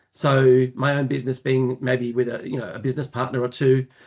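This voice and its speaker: At a medium pitch, a man talks at a moderate pace. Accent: Australian. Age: 60s. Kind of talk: podcast interview. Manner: halting, many fillers.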